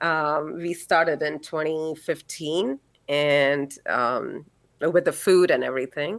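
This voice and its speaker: A woman speaks at a very slow pace. Her pitch is very deep and low, and her intonation fairly even. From India. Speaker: holistic practitioner and physical therapist. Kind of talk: interview conversation.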